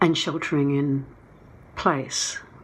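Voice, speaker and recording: With fairly even intonation, a woman talks in a space that gives audible room echo. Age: 70s. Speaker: documentary filmmaker. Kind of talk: conference talk. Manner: halting.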